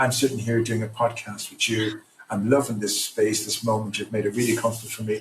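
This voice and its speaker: In an Irish accent, a man talks at a very fast pace. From Ireland. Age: 60s. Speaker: trauma recovery program founder. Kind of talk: podcast interview. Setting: remote podcast from home at night.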